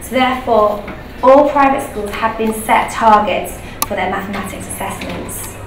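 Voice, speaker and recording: A woman with a British accent talks at a moderate pace with ordinary pitch variation, amid audible room echo and noticeable background noise. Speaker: primary school teacher. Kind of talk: conference presentation. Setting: presentation room with microphone.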